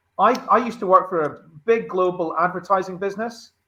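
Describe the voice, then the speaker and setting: A man speaks with a high-pitched voice. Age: 40s. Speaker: recruitment show co-host. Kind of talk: panel discussion.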